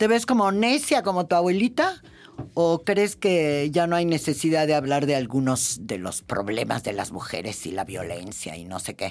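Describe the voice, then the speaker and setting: A woman speaks in a very deep, low pitch at a moderate pace, with very wide pitch swings. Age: 70s. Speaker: podcast host and feminist journalist. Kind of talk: casual chat.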